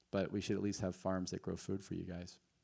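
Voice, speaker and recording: The voice has a dark, mellow tone and an American accent. It moves at a fairly quick pace. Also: man. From US, eastern shore of Maryland. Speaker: filmmaker and farmer. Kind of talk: post-screening Q&A. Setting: theater stage with audience. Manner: halting, many fillers.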